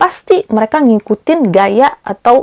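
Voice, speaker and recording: A woman's dark, mellow voice, heard in a dry, close sound with no echo, moves with lively intonation. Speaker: perfume reviewer. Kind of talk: product review vlog. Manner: frequent 'eh' hesitation fillers.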